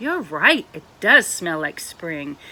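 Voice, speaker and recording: A female-sounding, put-on character voice sits at a middle pitch. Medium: read story. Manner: slow, kindly.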